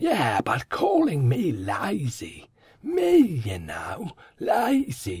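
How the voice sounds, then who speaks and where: Speaking at a very slow pace, the man has a fairly high pitch. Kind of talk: comic sitcom acting. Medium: audio drama.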